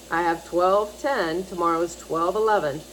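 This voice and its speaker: A woman speaks at a very slow pace, with noticeable background noise behind her. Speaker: animal rescue advocate vlogger. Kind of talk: casual monologue promoting pet adoption. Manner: animated, pleading.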